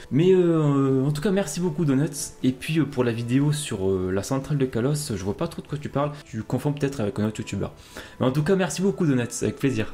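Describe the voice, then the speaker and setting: A man's fairly high, lively voice at a fairly quick pace over music in the background. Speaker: YouTuber, Pokémon theory creator. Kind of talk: casual response to viewer messages.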